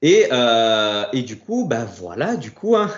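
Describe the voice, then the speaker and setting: In an unremarkable speaking voice, a man talks at medium pitch with lively intonation. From Corsica (Ajaccio), France. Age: 30s. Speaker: fitness coach and bodybuilder. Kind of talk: casual interview.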